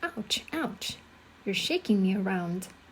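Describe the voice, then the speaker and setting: A woman's wheezy, put-on character voice at a fairly slow pace over clear background noise. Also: medium pitch for a woman. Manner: complaining.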